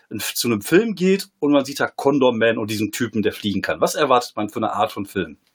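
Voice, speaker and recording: A man's normal speaking voice at medium pitch, with lively intonation, on a very clean recording with a silent background. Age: 40s. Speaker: comedian and former poetry slammer. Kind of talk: casual chat.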